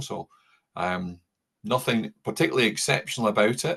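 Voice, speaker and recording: Against a quiet background, a man speaks at a moderate pace and fairly low pitch, with vocal fry and lively intonation. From Scotland, Paisley near Glasgow. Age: 60s. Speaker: former air force member and town councillor. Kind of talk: interview conversation. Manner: halting, many fillers.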